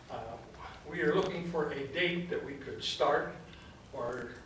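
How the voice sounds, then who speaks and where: A man with an American accent talks at a fairly high pitch amid audible room echo and noticeable background noise. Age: 70s. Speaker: gold miner public commenter. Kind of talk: public comment at hearing.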